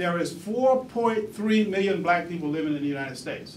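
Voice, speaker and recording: Noticeable background noise and audible room echo surround the recording. A man talks with lively intonation. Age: 60s. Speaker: museum founder and former city council member. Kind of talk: talk to an audience.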